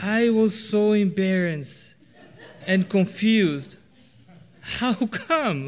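A high-pitched man at a very slow pace, lively in intonation, with long, frequent pauses. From Brazil. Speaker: preacher. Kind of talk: sermon. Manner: halting.

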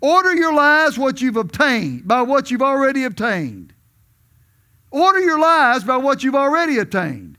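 A man's raised, projected voice rings out at an extremely high pitch, bright and sharp in tone with lively intonation. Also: moderate pace. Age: 70s. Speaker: visiting preacher. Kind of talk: sermon. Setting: church.

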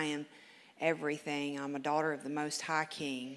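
A woman with a Southern US accent speaks in a very deep, low pitch. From Memphis, Tennessee. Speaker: recovery program graduate. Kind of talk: testimony. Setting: church. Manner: reading aloud.

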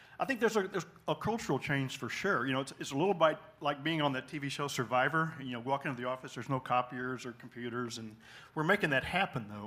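The voice is bright and sharp, with lively intonation. The pace is very fast. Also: man, fairly high pitch for a man. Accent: American. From Texas (small town near Dallas). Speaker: church deacon, retiree. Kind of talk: testimony interview at church.

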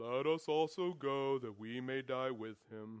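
A man puts on a character voice pitched in the medium range. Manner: slow, gloomy, mournful.

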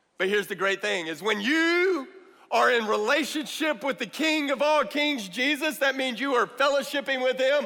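A man's raised, projected voice at an extremely high pitch, bright and sharp in tone, at a moderate pace. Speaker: guest preacher. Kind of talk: sermon. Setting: church with congregation. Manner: animated; rhetorical, calling out to the congregation.

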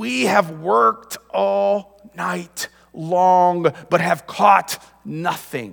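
Using a put-on character voice, a man speaks very slowly at a high pitch with very wide swings in pitch. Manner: respectful but through gritted teeth.

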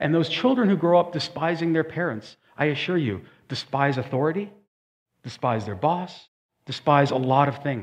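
With an unremarkable speaking voice pitched fairly high for a man, he talks at a moderate pace with lively intonation. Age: 40s. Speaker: pastor. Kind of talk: sermon.

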